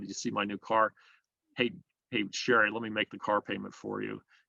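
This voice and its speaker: Vocal fry runs through a man's fairly low-pitched voice, which has a bright, sharp tone and moves at a fairly quick pace, with a dry, close sound with no echo. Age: 60s. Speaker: business owner. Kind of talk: interview.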